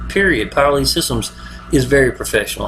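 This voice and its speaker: A man mumbles at a very fast pace with an American accent. Music plays in the background. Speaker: online marketer. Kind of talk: video monologue. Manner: mumbling; casual, repetitive fillers.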